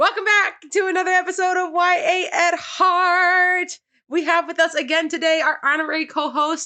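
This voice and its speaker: Raised and projected, a woman's extremely high voice has a bright, sharp tone and fairly even intonation. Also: moderate pace, very even loudness. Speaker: book podcast host. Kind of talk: casual chat.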